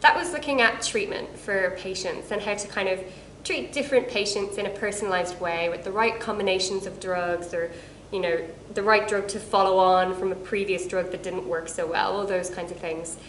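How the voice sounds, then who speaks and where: A woman speaks at a fairly quick pace with an Irish accent. Noticeable background noise and audible room echo fill the recording. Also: medium pitch for a woman, ordinary pitch variation. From Ireland. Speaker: cancer researcher. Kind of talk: casual self-introduction to camera.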